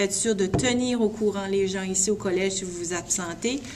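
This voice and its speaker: Speaking at a moderate pace, a woman keeps a medium pitch and fairly even intonation. Audible room echo and noticeable background noise fill the recording. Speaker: college internship supervisor. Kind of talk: instructional video message to students.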